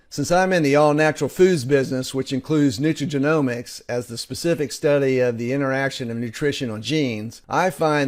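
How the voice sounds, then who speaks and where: In a very clean recording with a silent background, a man talks at a fairly quick pace with a fairly high pitch and ordinary pitch variation. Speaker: presenter. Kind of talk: sales pitch. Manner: fast.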